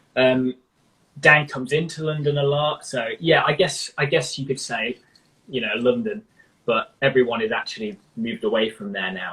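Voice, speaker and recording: In a British accent, a man with a fairly high pitch and a bright, sharp tone speaks at a moderate pace with lively intonation. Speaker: rock guitarist. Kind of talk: interview. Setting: live stream.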